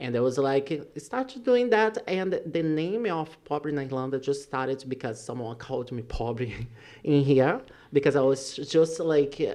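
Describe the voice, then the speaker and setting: A man with a Brazilian Portuguese accent has a fairly high pitch and a dark, mellow tone. He speaks at a moderate pace with ordinary pitch variation. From Brazil, Rio de Janeiro. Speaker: social media influencer. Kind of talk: podcast interview.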